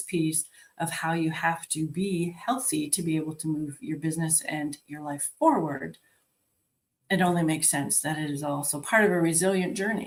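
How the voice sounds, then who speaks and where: Here a woman speaks in an ordinary speaking voice at a moderate pace. Her pitch is fairly low, with ordinary pitch variation. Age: 60s. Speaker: life and health coach. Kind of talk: virtual conference talk. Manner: conversational.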